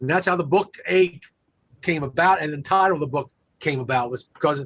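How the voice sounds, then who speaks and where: A man with an American accent and an ordinary speaking voice talks at a fairly quick pace, his pitch fairly high with ordinary variation. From US Midwest / Virginia small towns. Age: 60s. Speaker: motivational speaker and author. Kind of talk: interview storytelling.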